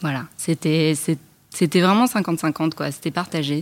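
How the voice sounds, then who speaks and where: Speaking at a very slow pace, a woman keeps a fairly low pitch and fairly even intonation. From Paris, France. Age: 30s. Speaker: talent agent. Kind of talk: casual chat. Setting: studio under a glass roof.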